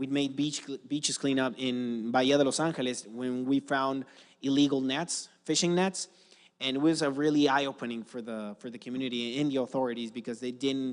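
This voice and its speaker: Against a quiet background, a man with a Spanish accent talks at a fairly quick pace and medium pitch with fairly even intonation. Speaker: environmental nonprofit founder. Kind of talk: conference talk. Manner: halting, many fillers and restarts.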